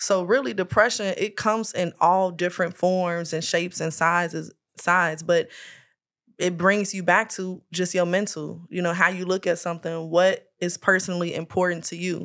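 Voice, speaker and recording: The recording is very clean, with a silent background. A woman with a fairly low pitch speaks at a moderate pace in a monotone, flat intonation. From Chicago South Side. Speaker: media personality and publicist. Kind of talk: casual chat.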